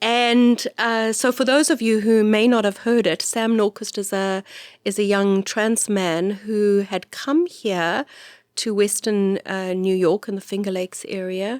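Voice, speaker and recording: In a South African accent, a woman talks at a fairly slow pace with ordinary pitch variation, the sound dry and close with no echo. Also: medium pitch for a woman, very clean recording, silent background. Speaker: priest and podcast host. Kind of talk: casual chat. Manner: halting.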